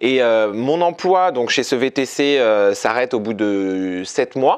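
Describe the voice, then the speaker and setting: A man's medium-pitched voice at a very slow pace, with very even loudness and lively intonation. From Paris, France. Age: 20s. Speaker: comedian and dancer. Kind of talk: interview. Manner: animated.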